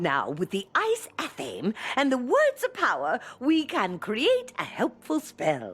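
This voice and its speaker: Putting on a character voice, a woman speaks at a fairly slow pace with hardly any pauses. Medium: video game. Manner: grand, ceremonial.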